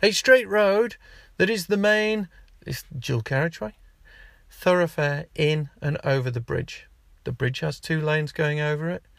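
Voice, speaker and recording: Animated and fairly high-pitched, a man talks at a fairly slow pace with lively intonation. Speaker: podcast host. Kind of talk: angry rant. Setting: in a car. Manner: exasperated, ranting; animated, sarcastic.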